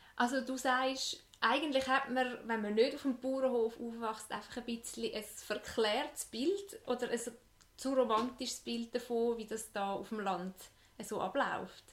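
This voice has a Swiss accent. The pace is fairly slow. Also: woman, high pitch for a woman, ordinary pitch variation. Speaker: podcast host. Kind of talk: interview.

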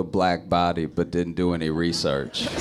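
At a fairly slow pace, a man with a very deep, low pitch speaks over noticeable background noise. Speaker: comedian. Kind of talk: casual chat.

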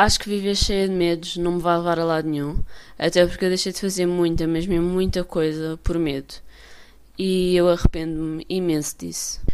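The woman's intonation stays flat and monotone. She talks at a moderate rate. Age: 20s. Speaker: podcast host. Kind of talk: casual monologue. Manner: filler-heavy, unfinished sentences.

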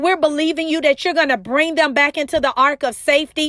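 A woman's high, warm yet bright and sharp voice with an American accent, in a dry, close sound with no echo. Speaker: motivational speaker and prayer leader. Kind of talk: fervent prayer. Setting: solo recording to followers. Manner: earnest, impassioned, pleading; warm, intimate, direct address.

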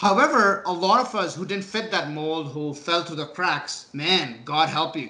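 With a bright, sharp tone, a man speaks at a high pitch and moderate pace, showing ordinary pitch variation. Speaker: podcast host. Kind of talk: casual conversation podcast. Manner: halting, repeats words.

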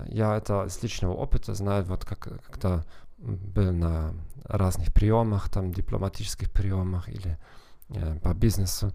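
His voice is very deep and low, with a dark, mellow tone. This man keeps his intonation fairly even. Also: fairly slow pace. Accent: German. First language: German (speaking Russian). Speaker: psychologist and language teacher hosting a podcast. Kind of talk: podcast monologue. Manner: halting with fillers and self-corrections.

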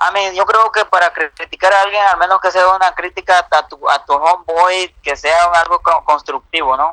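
A man with a Mexican accent speaks at a moderate pace and a high pitch, his tone bright and sharp, his loudness very even, his intonation fairly even, hardly any pauses, in a dry, close sound with no echo. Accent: Mexican-sounding Spanish. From United States. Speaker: incarcerated youtuber. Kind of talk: casual chat.

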